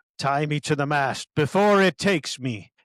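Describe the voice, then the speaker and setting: Growling in a put-on character voice, a man speaks at a fairly high pitch, the sound dry and close with no echo. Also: moderate pace. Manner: growling through gritted teeth, gasping.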